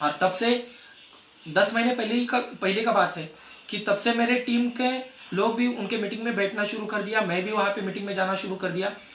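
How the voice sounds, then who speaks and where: Against noticeable background noise and audible room echo, a man with a high pitch speaks at a moderate pace with fairly even intonation. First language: Marathi (speaking Hindi). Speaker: network marketing distributor. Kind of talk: success story talk at a meeting. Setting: meeting with audience. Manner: halting.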